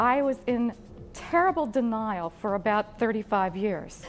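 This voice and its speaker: With music playing behind her, a woman speaks at a moderate pace in a fairly high pitch with lively intonation. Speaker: keynote speaker. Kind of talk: live keynote speech to a business audience. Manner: engaging, humorous.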